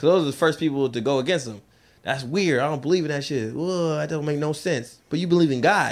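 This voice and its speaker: Rattling along at a very fast pace, a man speaks at a fairly high pitch with ordinary pitch variation. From Seattle. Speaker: stand-up comedian. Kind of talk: stand-up. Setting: stage with audience. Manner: fast talker.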